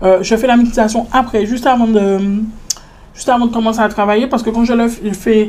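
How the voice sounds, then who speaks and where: Noticeable background noise sits behind a woman with a fairly high pitch. She talks at a fairly quick pace with a monotone, flat intonation. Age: 20s. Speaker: entrepreneur. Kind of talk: casual interview.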